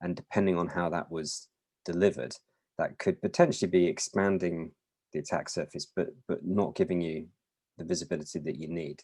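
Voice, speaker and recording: In a British accent, a man talks at a fairly quick pace. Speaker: mobile security vendor presenter. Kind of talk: webinar presentation.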